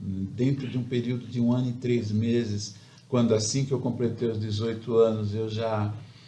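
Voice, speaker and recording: Audible room echo surrounds a man with a medium pitch and a dark, mellow tone. He sounds somewhat breathy, speaking at a moderate pace in a monotone, flat intonation. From Brazil, São Paulo coast (Baixada Santista). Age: 60s. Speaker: civil engineer. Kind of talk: interview. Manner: halting.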